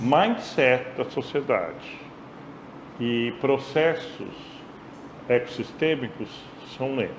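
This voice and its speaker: In a room with audible echo, a man speaks at a very slow pace with long, frequent pauses, his medium pitch varying in an ordinary way. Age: 60s. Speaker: course lecturer. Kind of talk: lecture discussion.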